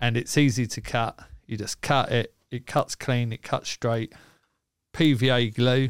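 Speech comes in a New Zealand accent at a fairly slow pace. The intonation stays monotone and flat. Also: man, medium pitch for a man, dry, close sound with no echo, very clean recording, silent background. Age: 40s. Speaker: magician and science educator. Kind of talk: casual chat.

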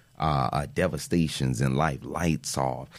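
An American-accented man speaks at a fairly slow pace with vocal fry and fairly even intonation. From Miami, Florida (Miami Gardens). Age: 30s. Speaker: financial literacy educator. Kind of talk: podcast interview.

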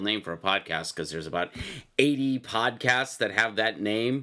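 A man talks at a moderate pace with lively intonation. The recording is very clean, with a silent background. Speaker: solo podcast host and writer. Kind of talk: casual solo monologue. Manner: rambling, hesitant with many fillers; sometimes formal, professorial.

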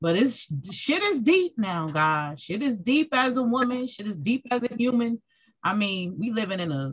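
A woman's fairly high, somewhat breathy voice, fairly slow, with very wide pitch swings. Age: 40s. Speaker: radio host. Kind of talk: casual chat.

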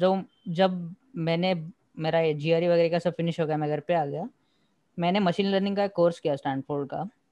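A man with a high pitch talks at a moderate pace in a monotone, flat intonation, and the sound is dry and close with no echo. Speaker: podcast co-host, engineering graduate. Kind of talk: casual chat.

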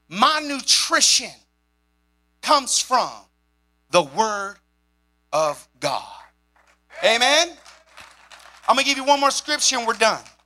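A man's raised, projected voice, extremely high in pitch, with a bright, sharp, animated tone, lively intonation, a fairly slow pace and long, frequent pauses. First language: sign language. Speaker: pastor. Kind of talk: sermon. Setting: church.

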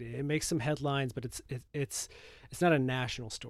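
With an American accent, a man talks at a fairly quick pace in an unremarkable speaking voice, medium in pitch with ordinary pitch variation, on a very clean recording with a silent background. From Michigan. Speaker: film critic. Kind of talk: casual chat. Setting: home recording closet.

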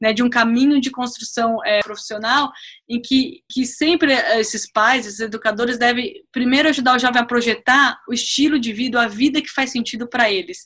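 At a moderate pace, a woman speaks with high pitch, ordinary pitch variation and a bright, sharp tone. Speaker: teacher and career coach. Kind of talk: interview.

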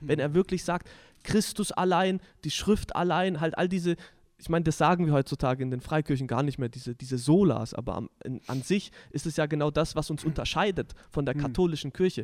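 Fairly quick and fairly high-pitched, a man talks in a normal speaking voice with ordinary pitch variation. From southwestern Germany, village Deichbach. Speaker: podcast host. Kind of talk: casual religious discussion.

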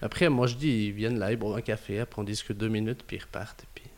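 A fairly low-pitched male voice at a fairly quick pace with ordinary pitch variation. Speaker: building renovation entrepreneur. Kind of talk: interview. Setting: his company office.

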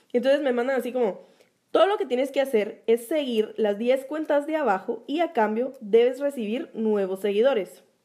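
Her voice is high-pitched for a woman, with a dark, mellow tone. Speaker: podcast co-host, small business owner. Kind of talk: casual chat.

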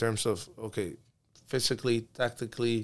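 A man with a medium-pitched voice speaks in a Spanish accent. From Peru, moved to Miami at 12. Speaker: youth soccer coach. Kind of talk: casual interview chat.

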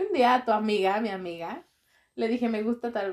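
A normal speaking voice from a woman, fairly high in pitch, at a fairly quick pace. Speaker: doctor, podcast guest. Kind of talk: casual chat.

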